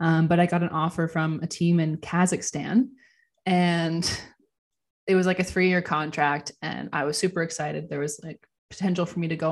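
In a Canadian accent, a woman with an ordinary speaking voice talks at a fairly low pitch and a moderate pace with fairly even intonation, on a very clean recording with a silent background. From Ontario, Canada. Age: 20s. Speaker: professional hockey player and mindset coach. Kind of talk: casual interview.

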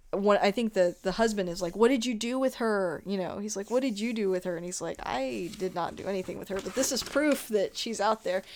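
On a very clean recording with a silent background, a woman talks in an ordinary speaking voice at medium pitch and a moderate pace, with ordinary pitch variation. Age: 30s. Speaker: podcast host. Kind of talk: casual chat.

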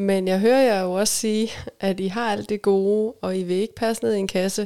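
This woman has a dark, mellow tone and a medium pitch. She speaks at a moderate pace with fairly even intonation. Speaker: sexologist and couples therapist. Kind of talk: interview. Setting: studio.

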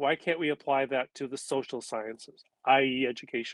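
Over a quiet background, a man with an American accent talks at a moderate pace, the sound dry and close with no echo. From California. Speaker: retired education professor. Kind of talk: interview.

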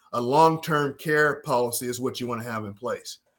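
A man keeps fairly even intonation at a moderate pace in a plain, everyday voice. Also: very clean recording, silent background. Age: 60s. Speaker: financial advisor. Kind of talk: casual chat.

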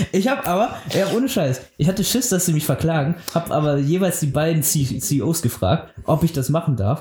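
A man's fairly high, lively voice at very even loudness, against noticeable background noise. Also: moderate pace, hardly any pauses. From rural Germany. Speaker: animator and storyboard artist. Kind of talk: casual chat. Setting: video call.

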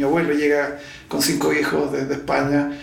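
A man speaks at a moderate pace with a fairly high pitch. Audible room echo and noticeable background noise are present. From Chile. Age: 60s. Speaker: zoo founder and veterinarian. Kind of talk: interview.

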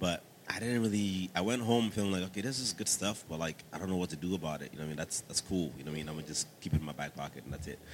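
A man's very deep, low voice in a New York accent, at a very fast pace with hardly any pauses. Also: ordinary pitch variation. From Staten Island, New York. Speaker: church music team member, military veteran. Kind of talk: casual interview, testimony.

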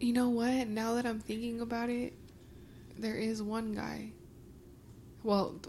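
In an American accent, a woman talks at a moderate pace with a fairly high pitch and a bright, sharp tone. The room echo is audible. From Mexican American. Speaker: podcast co-host. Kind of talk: casual chat.

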